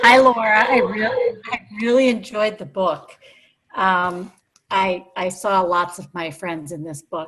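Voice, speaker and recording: Speaking at a fairly slow pace in an ordinary speaking voice, a woman at medium pitch shows big swings in loudness and ordinary pitch variation. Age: 60s. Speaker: audience member. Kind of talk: audience question.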